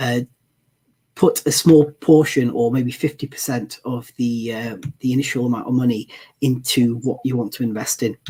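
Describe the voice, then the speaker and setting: Somewhat breathy and dark, mellow in tone, a man's medium-pitched voice moves at a moderate pace. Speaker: guest presenter on ETF investing. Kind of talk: live-stream Q&A presentation. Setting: live stream. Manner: many filler words, hesitant.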